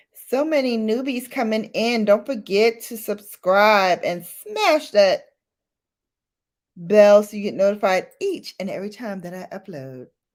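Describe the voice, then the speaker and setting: With an American accent, a woman speaks at a fairly slow pace in an animated tone, her fairly high pitch carrying lively intonation and big swings in loudness. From Brooklyn, New York, US. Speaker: beauty YouTuber. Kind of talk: casual livestream chat.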